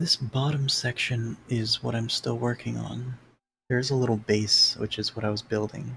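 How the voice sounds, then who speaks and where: A man speaks quietly at a medium pitch and a moderate pace. His intonation stays fairly even. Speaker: gaming streamer. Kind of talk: live gameplay commentary. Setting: home live stream at night. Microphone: noise gate cutting out audio.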